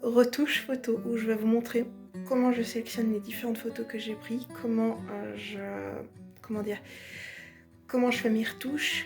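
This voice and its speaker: With music in the background, a woman talks at a moderate pace in a fairly high pitch with fairly even intonation. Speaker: cosplayer. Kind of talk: casual vlog talk to camera.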